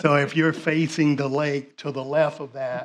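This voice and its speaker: Speaking in a Southern US accent, a man talks in a fairly high pitch with monotone, flat intonation. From US South. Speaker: property developer. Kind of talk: project presentation Q&A.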